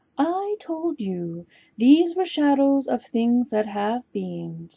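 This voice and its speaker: A woman talks at a very slow pace in a put-on character voice. Her pitch is high. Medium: read story. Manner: calm, unmoved.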